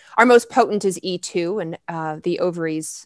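Lively intonation and a moderate pace mark this voice, heard with a dry, close sound with no echo against a quiet background. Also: woman. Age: 40s. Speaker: naturopathic doctor and hormone educator. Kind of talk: interview. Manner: animated.

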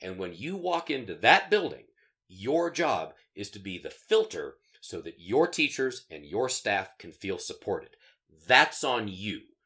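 A man with an American accent at a fairly slow pace, with big swings in loudness, on a very clean recording with a silent background. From US West, northeastern Colorado. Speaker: educator and podcast co-host. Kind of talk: casual chat. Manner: halting, many fillers.

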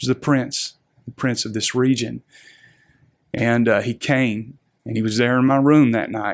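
In a Southern US accent, a man with a medium pitch talks at a moderate pace in a flat, monotone way, with long, frequent pauses. The recording is very clean, its background silent. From Arkansas, Little Rock area. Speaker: pastor. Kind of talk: interview testimony.

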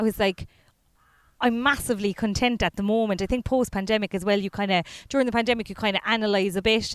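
A woman with a Cork accent talks at a very fast pace with fairly even intonation. The recording is very clean and dry, with a close sound, no echo, and a silent background. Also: fairly high pitch for a woman. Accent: Cork Irish. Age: 30s. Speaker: comedian. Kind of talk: casual chat.

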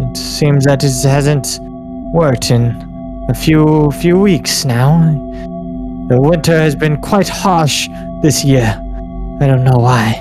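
Over loud music in the background, a man does a raspy put-on character voice at medium pitch, fairly slow, with long, frequent pauses. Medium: actual play. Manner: blunt.

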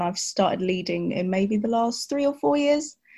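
A woman with a London accent speaks with lively intonation. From West London. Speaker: church worship assistant and youth choir leader. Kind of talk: casual chat.

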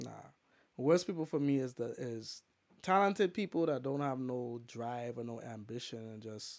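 An unremarkable speaking voice from a man at medium pitch, moderate in pace, with lively intonation and big swings in loudness, on a very clean recording with a silent background. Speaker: DJ and poet. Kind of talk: casual chat. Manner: casual, rambling, repeats phrases.

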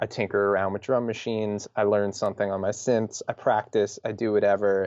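With fairly even intonation and fairly low pitch, the man has an ordinary speaking voice. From New York, Long Island. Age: 30s. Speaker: musician. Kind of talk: casual chat.

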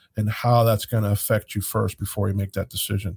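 Somewhat breathy and at a medium pitch, a man talks with fairly even intonation in a dry, close sound with no echo. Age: 50s. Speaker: financial advisor radio host. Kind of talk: casual radio talk. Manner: halting.

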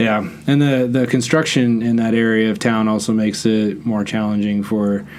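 A man's medium-pitched voice at a moderate pace, with fairly even intonation, very even loudness, hardly any pauses and audible room echo. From Netherlands. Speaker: podcast host. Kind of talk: casual interview; sponsor read. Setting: studio.

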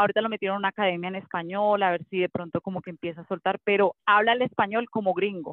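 A woman speaks at a very fast pace with hardly any pauses. Her pitch is medium and her intonation fairly even. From Colombia. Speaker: mommy blogger and former TV presenter. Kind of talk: casual interview chat.

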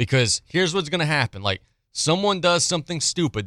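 A man with an American accent talks at a very fast pace in a fairly high pitch, his bright, sharp tone marked by vocal fry and very wide pitch swings, on a very clean recording with a silent background and a dry, close sound with no echo. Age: 30s. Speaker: sports radio host. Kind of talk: sports talk radio.

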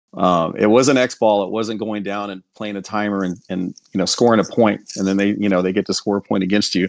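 With an American accent, a man speaks fairly quickly at a fairly low pitch, his intonation flat and monotone in a dry, close sound with no echo. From Houston, Texas. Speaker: sportswear company owner. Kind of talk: casual interview. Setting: online call.

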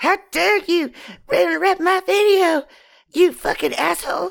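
The voice is a put-on character voice at an extremely high pitch. It moves at a moderate pace. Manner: angry.

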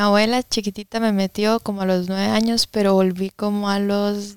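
A woman with a medium pitch speaks at a moderate pace in monotone, flat intonation, the sound dry and close with no echo. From Costa Rica, Alajuela. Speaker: young churchgoer. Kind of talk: casual interview.

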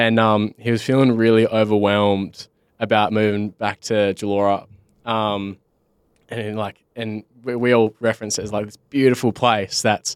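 With an Australian accent, a man speaks at a moderate pace in a fairly low, monotone, flat voice, recorded very cleanly against a silent background with a dry, close sound and no echo. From Western Australia, Bunbury. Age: 20s. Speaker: podcast host. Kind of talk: casual chat.

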